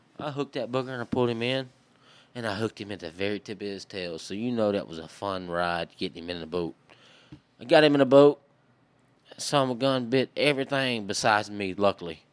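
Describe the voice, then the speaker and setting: With a Southern Louisiana accent, a man talks at a very fast pace in a fairly low pitch. His loudness swings widely, and the sound is dry and close with no echo. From southwest Louisiana. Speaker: hunter and fisherman. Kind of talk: casual chat.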